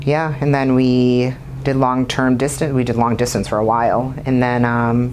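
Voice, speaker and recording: Amid noticeable background noise and audible room echo, a woman with a slight Boston accent speaks with a very deep, low pitch, in a monotone, flat intonation at very even loudness. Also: moderate pace. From Boston, US. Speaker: bodybuilder. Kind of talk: casual interview.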